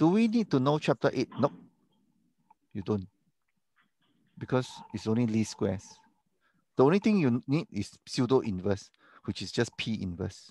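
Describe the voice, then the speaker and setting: Mumbled words come at a moderate pace with long, frequent pauses, in a dark, mellow tone and a dry, close sound with no echo. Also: man, medium pitch for a man, lively intonation. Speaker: university lecturer. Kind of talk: online lecture Q&A. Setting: video call. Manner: mumbling; casual, halting.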